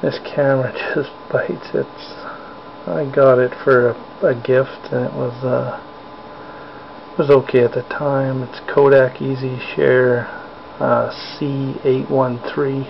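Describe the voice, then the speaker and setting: A man whispers at a very slow pace, with long, frequent pauses. Noticeable background noise runs underneath. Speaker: hobbyist spider keeper vlogger. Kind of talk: casual live narration. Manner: whispering; hesitant, many fillers. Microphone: cheap camera mic, picks up every sound, loud.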